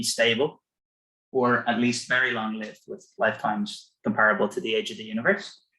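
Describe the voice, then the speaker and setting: A man speaks at a fairly quick pace with an Irish accent. His tone is bright and sharp, and his intonation is lively. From Ireland. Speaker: physicist. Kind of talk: lecture. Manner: halting, many fillers.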